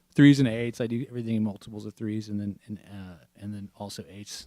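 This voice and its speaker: Mumbling at a fairly quick pace, a man with a dark, mellow tone keeps a fairly even intonation, the sound dry and close with no echo. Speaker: podcast host. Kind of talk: casual chat.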